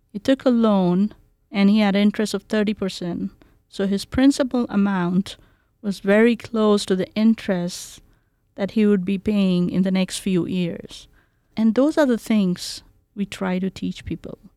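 Speaking in an Indian accent, a woman uses a medium pitch, a dark, mellow tone, and ordinary pitch variation at a fairly slow pace, in a dry, close sound with no echo. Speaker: community outreach director. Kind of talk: interview. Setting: video call.

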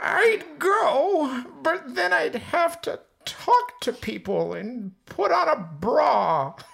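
In a put-on character voice with a fairly high pitch, the speech moves at a very slow pace with hardly any pauses.

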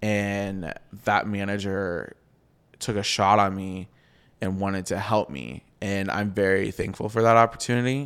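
On a very clean recording with a silent background, a man with a fairly low pitch, ordinary pitch variation and an unremarkable speaking voice talks at a fairly slow pace. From US Midwest (Iowa). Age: 20s. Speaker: publicist. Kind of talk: casual interview chat. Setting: home recording.

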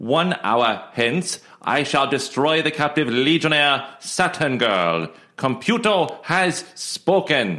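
Using a put-on robotic character voice, a man speaks very slowly at a fairly high pitch.

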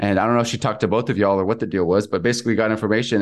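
A man speaks with an American accent and a fairly low pitch. The background is quiet. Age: 20s. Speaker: real estate investor. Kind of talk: casual interview.

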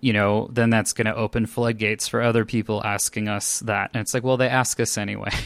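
A man with a fairly low pitch and a West Coast US accent, monotone and flat, at a very fast pace with hardly any pauses, in a dry, close sound with no echo. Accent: General American, West Coast. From Los Angeles, California. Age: 30s. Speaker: LGBTQ community organizer and UX design student. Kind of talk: casual interview chat. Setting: remote recording session.

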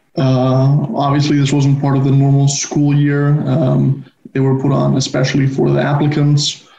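Audible room echo surrounds a man with a fairly high voice speaking at a moderate pace. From Spain, Barcelona. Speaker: university student. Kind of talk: casual interview.

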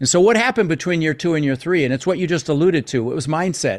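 Against a quiet background, a man with an American accent talks at a very fast pace with ordinary pitch variation. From US, Denver, Colorado. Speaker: real estate investor and mentor. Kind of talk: interview.

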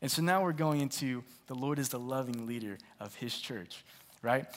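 A man in an ordinary speaking voice at a fairly quick pace, on a very clean recording with a silent background. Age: 20s. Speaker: pastor. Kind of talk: sermon.

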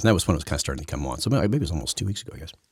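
A man talks at a very fast pace with vocal fry. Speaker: news commentator podcaster. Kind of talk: solo opinion monologue on news. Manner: rambling, halting, conversational.

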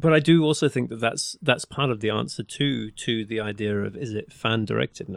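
At a fairly quick pace, a man with an English accent speaks at medium pitch with ordinary pitch variation. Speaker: podcast co-producer. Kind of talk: casual chat.

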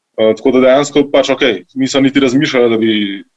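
This man has an ordinary speaking voice and fairly even intonation. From grew up partly in Italy. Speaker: restaurant co-founder. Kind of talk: interview.

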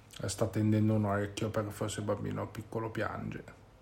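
A man speaks at a moderate pace with a fairly low pitch. His delivery is monotone and flat, and somewhat breathy. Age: 30s. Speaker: podcast host and parent. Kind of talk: casual chat. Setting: at home with children. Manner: halting.

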